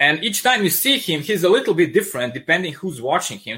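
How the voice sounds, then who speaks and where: On a very clean recording with a silent background, a man with a strong Serbian accent speaks in a bright, sharp tone with very wide pitch swings. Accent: thick Serbian. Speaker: comic book artist. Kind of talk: casual interview. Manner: animated.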